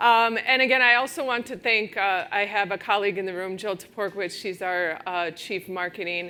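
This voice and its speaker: A woman with a Wisconsin accent speaks at a fairly quick pace in a medium-pitched voice with a bright, sharp tone. Her pitch variation is ordinary, and the recording is very clean with a silent background. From Wisconsin, US Midwest. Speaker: technology executive at a law firm. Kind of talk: conference talk. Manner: casual, many fillers.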